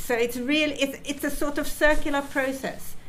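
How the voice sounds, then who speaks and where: The woman's voice carries audible room echo. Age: 70s. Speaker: retired geneticist and charity patron. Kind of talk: conference talk. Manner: halting.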